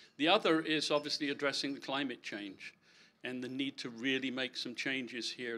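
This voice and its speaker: A man speaks at a fairly quick pace in a bright, sharp tone with ordinary pitch variation. The recording is very clean, its background silent. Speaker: election candidate. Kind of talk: candidate speech at public meeting. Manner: halting, many fillers and repeats.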